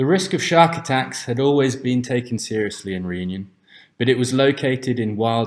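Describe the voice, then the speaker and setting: An unremarkable speaking voice, a man's, goes at a moderate pace with ordinary pitch variation on a very clean recording with a silent background. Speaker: narrator. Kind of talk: documentary presentation narration.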